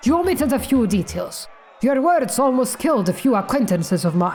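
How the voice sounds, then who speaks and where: A put-on character voice with a fairly high pitch moves at a fairly quick pace. Clear background noise can be heard. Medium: game stream.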